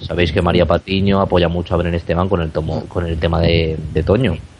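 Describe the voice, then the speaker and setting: Noticeable background noise is present. Through it, a man speaks with a very deep, low pitch. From Spain, not Barcelona. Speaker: radio co-host interviewer. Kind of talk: interview.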